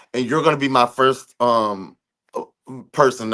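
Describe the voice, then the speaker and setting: A bright, sharp American-accented male voice at medium pitch, with ordinary pitch variation and a fairly quick pace. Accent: slight Southern US, per others. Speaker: podcast host. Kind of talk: casual chat. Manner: animated.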